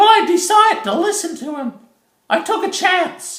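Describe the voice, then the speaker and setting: A squeaky, cartoonish character voice at an extremely high pitch. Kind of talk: educational puppet monologue. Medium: puppet show. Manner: chatty, earnest, comic.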